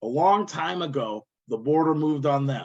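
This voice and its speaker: A man talks at a fairly high pitch with an Iowa accent. His pitch swings very widely at a moderate pace. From Iowa, US Midwest. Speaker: workshop trainer. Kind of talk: online training workshop.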